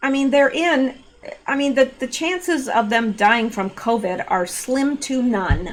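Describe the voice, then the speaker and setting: Noticeable background noise sits behind a woman with a high pitch and lively intonation. She talks at a fairly slow pace. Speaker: political commentary youtuber. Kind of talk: casual commentary reading news. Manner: hesitant, many fillers.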